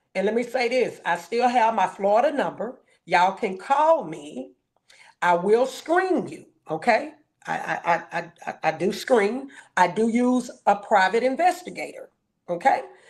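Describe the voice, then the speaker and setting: Speaking at a fairly slow pace, this woman has a fairly high voice whose pitch swings very widely. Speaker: live streamer. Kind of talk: live stream commentary. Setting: hotel room. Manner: loud.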